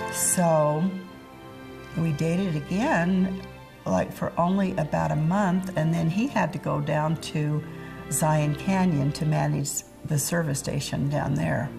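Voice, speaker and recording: Music can be heard in the background. The words come out at a very slow pace. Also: woman. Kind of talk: life history interview.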